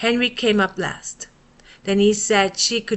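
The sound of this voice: The intonation stays fairly even. It is an unforced reading voice.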